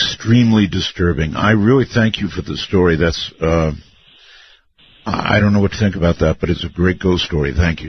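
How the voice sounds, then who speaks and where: A man's somewhat breathy voice sits at a very deep, low pitch with ordinary pitch variation. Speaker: radio talk show host. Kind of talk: late-night radio talk show.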